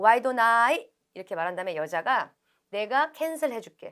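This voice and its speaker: A woman's voice with very wide pitch swings, against a quiet background. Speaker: English test instructor. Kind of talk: lecture. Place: studio.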